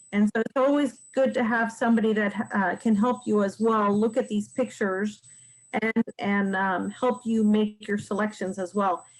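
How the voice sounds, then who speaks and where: With an ordinary speaking voice, a woman talks at a moderate pace, her pitch fairly high and her intonation fairly even. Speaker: realtor teaching real estate investing. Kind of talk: webinar presentation. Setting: online webinar.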